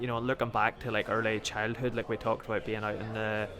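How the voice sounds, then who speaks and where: With music in the background, a man with a Northern Irish accent and medium pitch speaks at a fairly quick pace. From Northern Ireland, County Antrim. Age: 30s. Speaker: footballer. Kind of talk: interview. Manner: halting.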